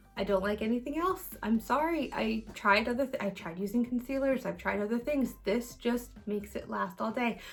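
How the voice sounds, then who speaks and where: A woman's fairly high voice with hardly any pauses, over noticeable background noise. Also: ordinary pitch variation. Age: 30s. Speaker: beauty vlogger. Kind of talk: casual chat. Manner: fast.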